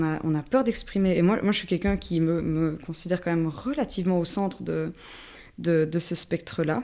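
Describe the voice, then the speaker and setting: A woman with a dark, mellow tone and fairly low pitch speaks at a moderate pace with ordinary pitch variation, in a very clean recording with a silent background. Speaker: multidisciplinary artist and musician. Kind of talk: casual interview conversation. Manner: halting, many repetitions.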